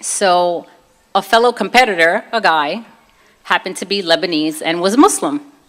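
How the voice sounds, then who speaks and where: A woman with a Brooklyn accent speaks at a moderate pace and a medium pitch. Her intonation is lively. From US Northeast, Brooklyn, New York. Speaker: convert sharing her story; former personal trainer. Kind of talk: testimony.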